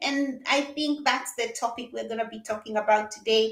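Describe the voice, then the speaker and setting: A woman's animated voice at a moderate pace. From Kenya. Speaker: psychologist. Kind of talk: interview.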